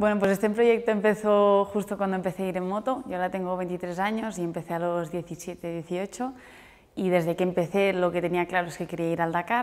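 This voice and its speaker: Her intonation fairly even, a woman talks at a moderate pace. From Andorra. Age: 20s. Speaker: motorcycle rally rider. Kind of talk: interview answers. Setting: newsroom visit. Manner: hesitant, with repetitions and fillers. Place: office.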